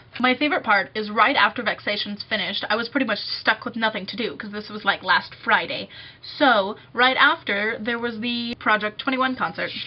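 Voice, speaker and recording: A woman speaks at a fairly quick pace in a fairly high pitch, with ordinary pitch variation. Her loudness swings widely over noticeable background noise. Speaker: music student and vlogger. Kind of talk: casual vlog. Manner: fast.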